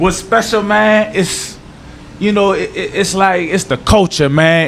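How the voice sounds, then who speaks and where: Noticeable background noise sits behind a man speaking at a moderate pace with a New Orleans accent and ordinary pitch variation. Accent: New Orleans accent, kept. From New Orleans, Louisiana. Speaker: former pro football player. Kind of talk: interview. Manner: casual, slangy.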